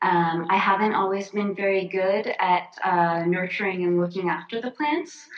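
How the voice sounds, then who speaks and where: With an American accent, a woman speaks at a moderate pace and medium pitch, using ordinary pitch variation and hardly any pauses, over noticeable background noise. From US, Florida. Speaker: artist and designer. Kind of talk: casual interview chat.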